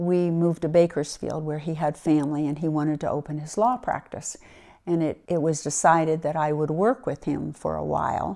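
Speaking at a moderate pace with an American accent, a woman has a very deep, low pitch and a dark, mellow tone, captured on a very clean recording with a silent background. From US Mid-Atlantic, Wilmington, Delaware. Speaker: retired lawyer and senior cyclist. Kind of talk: interview.

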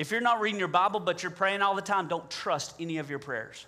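A man in a Southern US accent, bright and sharp in tone, at a fairly quick pace with ordinary pitch variation. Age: 40s. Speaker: pastor. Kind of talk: sermon. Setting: church. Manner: halting, with many filler words.

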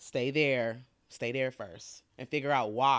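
On a very clean recording with a silent background, a woman with an American accent speaks in a very deep, low pitch with ordinary pitch variation. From Detroit, US Midwest. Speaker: marketing and PR professional. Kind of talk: casual interview.

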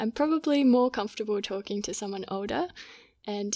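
With an Australian accent, a woman speaks at a fairly high pitch on a very clean recording with a silent background and a dry, close sound with no echo. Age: 20s. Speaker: physiotherapy student. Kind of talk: casual chat.

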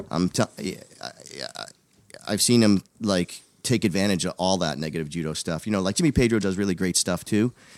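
Speaking at a fairly quick pace, a man uses a very deep, low pitch, an animated tone and ordinary pitch variation, in a dry, close sound with no echo on a very clean recording with a silent background. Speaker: gym owner and boxing coach. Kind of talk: casual interview chat. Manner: jokey, animated.

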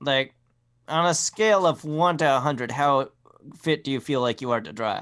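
With an unremarkable speaking voice, a man of fairly high pitch talks at a moderate pace with ordinary pitch variation on a very clean recording with a silent background. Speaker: tabletop RPG player. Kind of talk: tabletop RPG session, casual banter.

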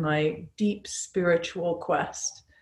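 A woman speaks with a fairly low pitch and fairly even intonation. Her voice is somewhat breathy. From Falkland Islands. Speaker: yoga teacher. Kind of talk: interview chat.

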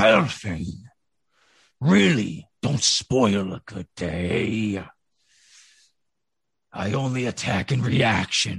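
Growling in a put-on character voice, a man speaks very slowly in a fairly low pitch, with long, frequent pauses. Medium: actual play. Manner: gruff, threatening.

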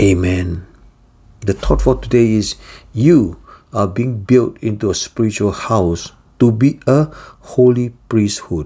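In a solemn, dark, mellow tone, a man speaks fairly low and somewhat breathy at a fairly slow pace, with ordinary pitch variation and long, frequent pauses. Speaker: devotional teacher. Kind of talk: fervent prayer, led aloud as a devotional prayer. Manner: solemn, earnest and reverent, humble tone; formal, steady and heartfelt.

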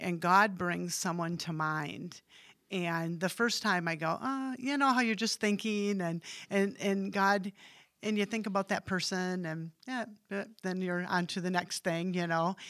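A plain, everyday voice with an American accent moves at a fairly slow pace with ordinary pitch variation. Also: woman, medium pitch for a woman. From West Michigan, US (Hamilton). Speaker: church member sharing faith story. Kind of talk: casual chat.

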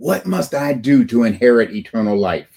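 A man talks at a moderate pace with lively intonation. His is an unremarkable speaking voice. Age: 60s. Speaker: preacher. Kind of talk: sermon. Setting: church.

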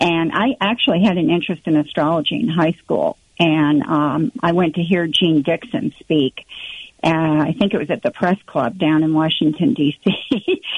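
At a moderate pace, a woman with a fairly low pitch talks with ordinary pitch variation and very even loudness. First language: German. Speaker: author and speaker on the New Age, former astrologer. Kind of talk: interview, telling her testimony. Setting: phone call.

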